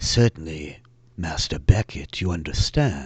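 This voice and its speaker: A man's put-on character voice, very deep and low, at a fairly slow pace over a quiet background. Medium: actual play. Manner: courtly, formal.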